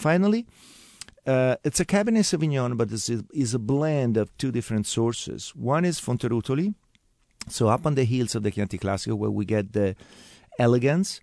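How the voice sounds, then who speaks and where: This man has a dark, mellow tone and an Italian accent, talking at a fairly quick pace with lively intonation. The sound is dry and close with no echo, over a quiet background. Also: medium pitch for a man. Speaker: winemaker, winery family member. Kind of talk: interview. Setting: radio studio. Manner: halting, repeats words.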